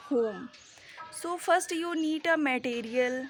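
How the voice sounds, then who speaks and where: The speaker is a woman with a high pitch. She talks at a very slow pace. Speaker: English learner vlogger. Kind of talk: casual vlog monologue. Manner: halting.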